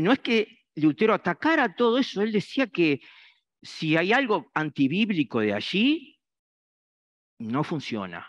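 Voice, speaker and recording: Against a quiet background with a dry, close sound and no echo, a man speaks at a high pitch, making very wide pitch swings and taking long, frequent pauses. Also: fairly slow pace. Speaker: preacher. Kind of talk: sermon. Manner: halting, many fillers.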